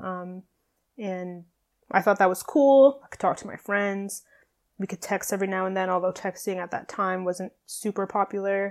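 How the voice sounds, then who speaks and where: In a very clean recording with a silent background, a woman with an unremarkable speaking voice talks at a medium pitch and moderate pace, with fairly even intonation and big swings in loudness. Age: 20s. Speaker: podcast host and fitness coach. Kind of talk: solo podcast monologue.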